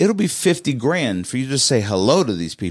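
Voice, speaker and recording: A man with an American accent speaks with very wide pitch swings on a very clean recording with a silent background. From US Midwest, St. Louis. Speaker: real estate agent, car event organizer. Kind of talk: casual chat. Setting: studio.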